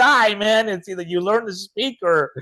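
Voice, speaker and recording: Against a quiet background, a man with a Spanish accent speaks at a moderate pace in an animated tone. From Chile, moved to Utah at nine. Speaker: speaker and author. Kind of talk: interview, personal story. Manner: animated storytelling.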